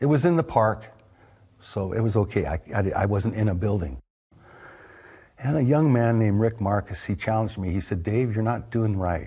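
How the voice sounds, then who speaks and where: A man with a fairly low pitch and a dark, mellow, somewhat breathy tone speaks at a moderate pace with long, frequent pauses. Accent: American. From California, US. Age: 60s. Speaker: longtime local resident. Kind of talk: interview, personal storytelling. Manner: halting, many fillers.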